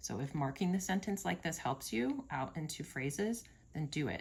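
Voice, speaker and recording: Lively intonation from a woman at a very deep, low pitch, somewhat breathy, at a moderate pace. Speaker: teacher. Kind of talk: tutorial.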